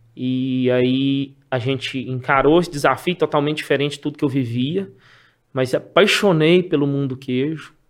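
Using a normal speaking voice, a man with a fairly high pitch talks at a moderate pace with fairly even intonation. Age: 40s. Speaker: cheese wholesaler. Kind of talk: casual interview chat.

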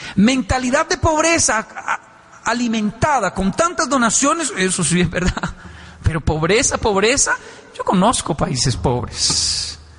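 A man speaks at an extremely high pitch, with very wide swings up and down and an animated tone. His pace is fairly slow, his loudness stays very even, and there's noticeable background noise. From Colombia, Bogotá (Ciudad Bolívar). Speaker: motivational speaker. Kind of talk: motivational talk to an audience. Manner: animated, acting out dialogues.

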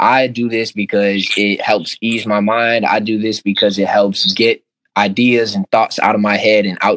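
With a Chicago-area accent, a man speaks at a moderate pace in a monotone, flat tone, with hardly any pauses. The sound is dry and close, with no echo. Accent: Chicago-area American English. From Oak Park, Chicago area. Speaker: music artist. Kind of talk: casual interview.

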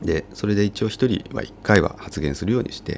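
A man speaks with a very deep, low pitch. His pitch swings very widely. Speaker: architecture firm co-owner and vacant-house activist podcaster. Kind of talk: casual solo podcast monologue.

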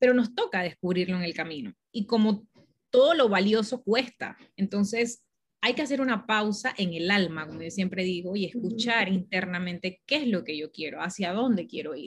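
A somewhat breathy woman talks with lively intonation. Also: medium pitch for a woman, moderate pace. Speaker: spiritual mentor and marketing agency co-founder. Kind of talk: interview.

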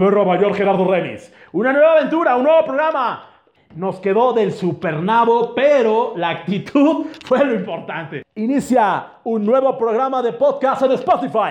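This man's pitch is extremely high, and his intonation is lively. He speaks at a fairly slow pace. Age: 30s. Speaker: podcast host. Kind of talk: casual chat.

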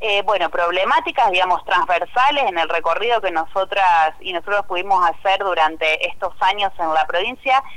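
Her speech barely pauses as a woman with an Argentine accent talks at a medium pitch with ordinary pitch variation. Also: moderate pace. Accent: Rioplatense Argentine Spanish. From Argentina, Santa Fe province (Cañada de Gómez). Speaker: provincial legislator. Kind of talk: interview. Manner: halting, many repetitions and fillers.

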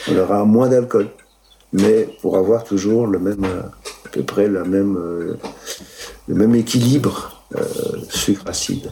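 Very slow speech from a man with a fairly low pitch, ordinary pitch variation, long and frequent pauses, and noticeable background noise. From Italy, raised in Moselle. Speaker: winemaker. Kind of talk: interview. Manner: hesitant, many fillers.

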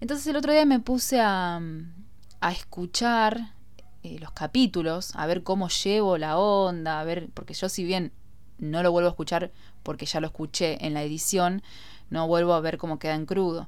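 Her voice fairly low in pitch, a woman talks at a moderate pace with lively intonation. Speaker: podcast host. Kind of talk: casual monologue.

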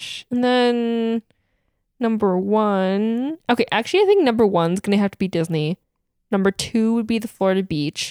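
A woman with an American accent and an ordinary speaking voice talks at a moderate pace with a fairly high pitch and ordinary pitch variation, dry and close with no echo, on a very clean recording with a silent background. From Wisconsin, West Bend area. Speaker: podcast co-host. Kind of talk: casual chat.

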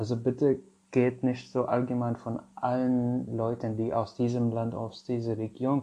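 In an Arabic accent, a man at medium pitch speaks at a fairly slow pace with a dark, mellow tone and monotone, flat intonation. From Syria. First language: Arabic (speaking German). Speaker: podcast host, social worker. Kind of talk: casual monologue.

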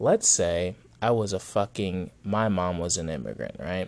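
A man talks at a fairly slow pace in a very deep, low pitch with vocal fry. His pitch variation is ordinary. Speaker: podcast host. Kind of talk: casual profane rant-style monologue. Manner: rambling, digressive, self-interrupting; blunt, sarcastic, heated, angrily ranting with swearing.

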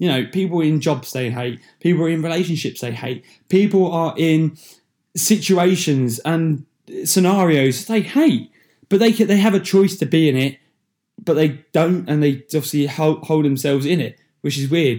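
A man with an English accent talks at a moderate pace with ordinary pitch variation. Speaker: podcast host. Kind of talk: solo motivational talk. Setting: solo recording into a microphone. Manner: casual, with many fillers.

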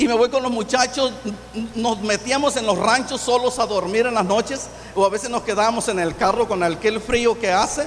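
A man talks at a moderate pace with an extremely high pitch and fairly even intonation. Noticeable background noise is present. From Michoacán, Mexico. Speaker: pastor. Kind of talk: testimony.

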